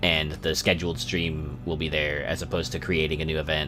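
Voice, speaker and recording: With music in the background and audible room echo, a man speaks at a moderate pace in a very deep, low pitch. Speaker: video game streamer. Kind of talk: casual livestream commentary. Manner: halting, many fillers and repeats.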